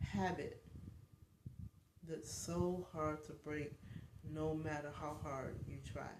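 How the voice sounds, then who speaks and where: Marked by vocal fry, the speaker talks at a very slow pace with audible room echo. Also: woman. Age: 50s. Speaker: life coach and vlogger. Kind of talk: casual livestream chat. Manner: halting, many fillers.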